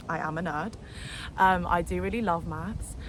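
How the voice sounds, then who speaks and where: A woman with a London accent talks at a moderate pace over noticeable background noise, with audible room echo. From London, England. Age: 20s. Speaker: vlogger. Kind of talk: casual vlog monologue. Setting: outdoors in a park. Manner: animated; talkative.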